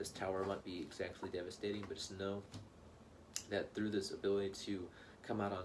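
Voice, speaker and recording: Over noticeable background noise, a man with a fairly low voice speaks at a very fast pace. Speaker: tarot reader. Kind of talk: tarot reading monologue. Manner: animated.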